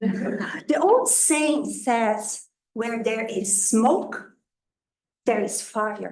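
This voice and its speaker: A woman with a non-native accent speaks at a very slow pace in a fairly high, somewhat breathy voice. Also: ordinary pitch variation. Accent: noticeable foreign. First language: not English. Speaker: resident speaking at public comment. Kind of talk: public comment at a board meeting. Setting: township board meeting. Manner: somewhat halting.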